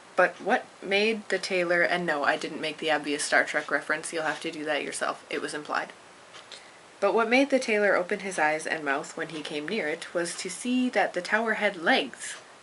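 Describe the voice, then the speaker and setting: Against noticeable background noise, a woman speaks quietly at a fairly low pitch. Her pace is moderate and her intonation lively. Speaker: amateur storyteller reading to a friend. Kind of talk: reading aloud; casual chat.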